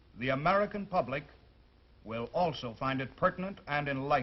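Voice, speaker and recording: A man with a normal speaking voice talks fairly quickly, his pitch fairly high and his intonation lively. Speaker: army sergeant, TV host. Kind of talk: TV program introduction.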